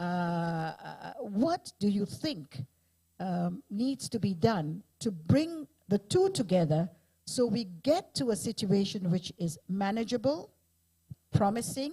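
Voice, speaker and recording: A woman speaks at a very slow pace and a medium pitch, with very wide pitch swings. Her tone is dark and mellow, and somewhat breathy. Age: 70s. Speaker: panel moderator. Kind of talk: panel discussion.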